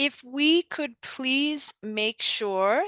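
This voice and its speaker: Over a quiet background, in a dry, close recording with no echo, a woman speaks at a very slow pace with a bright, sharp tone and lively intonation. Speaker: trainer. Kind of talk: webinar training. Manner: slow, careful enunciation.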